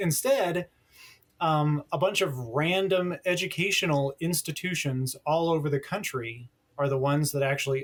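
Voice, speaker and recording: Moderate speed, ordinary pitch variation and a somewhat breathy voice. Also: man. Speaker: telecom journalist. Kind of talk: podcast interview. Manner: animated.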